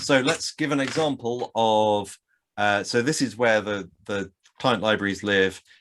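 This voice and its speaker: Against a quiet background, a man talks at a fairly slow pace in a plain, everyday voice that sits fairly low in pitch. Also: ordinary pitch variation. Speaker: software developer giving a tech talk. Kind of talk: technical talk with live code demo. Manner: casual, many fillers.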